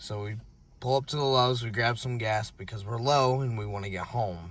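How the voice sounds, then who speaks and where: A man with a bright, sharp tone speaks at a moderate pace and a medium pitch. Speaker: car enthusiast vlogger. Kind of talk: casual vlog narration. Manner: halting, stuttering a little.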